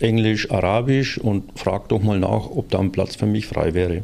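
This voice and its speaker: A man's fairly low, dark and mellow voice with vocal fry, fairly even intonation and a fairly slow pace. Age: 60s. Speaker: works council representative. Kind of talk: casual chat.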